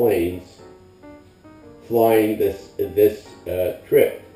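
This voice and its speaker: Music plays in the background as a man speaks in an American accent. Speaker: war veteran. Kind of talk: interview answer. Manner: hesitant, with fillers.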